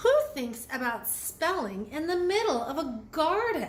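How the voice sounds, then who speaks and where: A woman puts on a character voice pitched high, swinging very widely in pitch, with clear background noise behind her. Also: fairly slow pace. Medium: read story. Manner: gentle, warm, good-humored.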